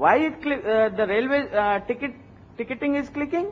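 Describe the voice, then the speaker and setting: There is light background noise as a man speaks at a moderate pace. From India. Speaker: internet company founder and CEO. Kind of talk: conference talk. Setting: stage with audience. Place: hall. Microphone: podium.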